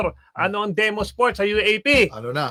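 A man's high, raised, projected voice with a bright, sharp tone and a dry, close sound free of echo. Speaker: sports analyst. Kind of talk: radio talk show discussion. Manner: halting, many fillers.

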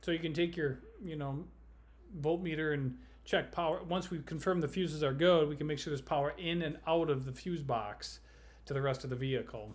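Here a man talks at a moderate pace with ordinary pitch variation. His voice is somewhat breathy. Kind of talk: phone consultation advice. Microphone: webcam.

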